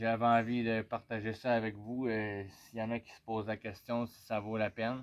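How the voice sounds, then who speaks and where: In a Quebec accent, a man talks at a fairly slow pace. His medium-pitched voice has a monotone, flat intonation. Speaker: motorcycle owner vlogger. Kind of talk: casual product review. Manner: hesitant, many fillers.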